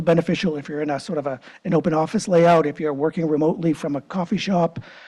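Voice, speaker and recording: A man speaks at a very fast pace. His voice is high for a man, with a dark, mellow tone. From Maine. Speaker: accessibility lead, panelist. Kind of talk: panel discussion. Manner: halting, many fillers and restarts.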